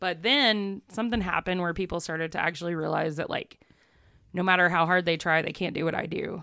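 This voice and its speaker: A bright, sharp voice with a Southern US accent goes at a very fast pace with ordinary pitch variation. The recording is very clean, with a silent background. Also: woman, fairly low pitch for a woman. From East Texas. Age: 30s. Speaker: photographer and community organizer. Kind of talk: casual chat.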